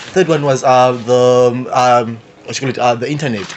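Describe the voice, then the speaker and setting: Noticeable background noise sits behind this speaker. A man talks at a medium pitch with fairly even intonation. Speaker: youth podcast panelist. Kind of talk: casual discussion. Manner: halting, many fillers; fast.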